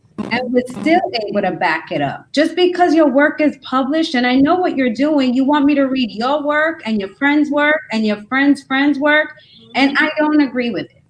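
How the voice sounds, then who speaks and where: A woman talks at a high pitch and a moderate pace. Her pitch variation is ordinary, but her loudness swings widely. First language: not English. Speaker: university-level educator. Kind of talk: panel discussion. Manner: animated.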